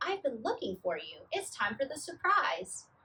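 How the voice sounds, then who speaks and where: A woman's squeaky, high-pitched put-on character voice, with very wide pitch swings at a moderate pace. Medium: read story.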